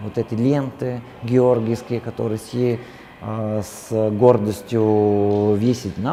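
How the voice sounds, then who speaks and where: Fairly even intonation in an Italian accent, with noticeable background noise. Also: man. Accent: Italian accent in Russian. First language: Italian (speaking Russian). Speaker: translator and Italian teacher. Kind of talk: interview. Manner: halting, with many fillers.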